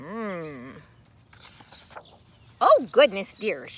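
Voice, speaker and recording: A woman puts on a character voice. Her pitch is medium. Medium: read story. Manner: warm, motherly.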